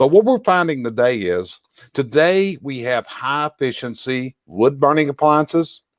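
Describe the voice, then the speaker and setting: In a Southern US accent, a man speaks at a moderate pace with a fairly high pitch and lively intonation, the sound dry and close with no echo. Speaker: chimney industry expert and show host. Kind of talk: educational discussion.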